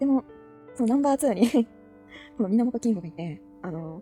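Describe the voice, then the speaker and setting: Music plays in the background as a woman mumbles at a very fast pace. Her pitch is fairly high. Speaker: anime fan hobby YouTuber. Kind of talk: casual commentary while browsing character list. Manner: mumbling, low-key.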